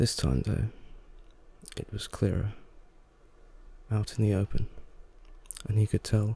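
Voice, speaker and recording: A soft-spoken man at a moderate pace, fairly low in pitch, with a dark, mellow tone and vocal fry. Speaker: ASMR creator. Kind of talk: soft-spoken ASMR story reading. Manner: soft-spoken, calming.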